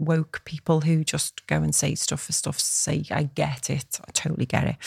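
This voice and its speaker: A woman with a Liverpool accent speaks at a fairly quick pace in a very deep, low pitch with vocal fry and monotone, flat intonation, hardly pausing, in a dry, close sound with no echo. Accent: Scouse (Liverpool). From Liverpool, England. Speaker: business and life coach, podcast co-host. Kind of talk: casual chat.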